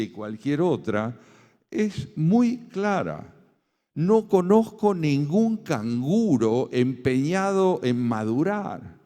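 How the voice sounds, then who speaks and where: A man speaks with an Argentine accent in a dark, mellow tone. His pitch is fairly high and swings very widely. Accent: Argentine Spanish (Rioplatense). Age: 70s. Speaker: philosopher and essayist. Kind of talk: lecture. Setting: conference with audience.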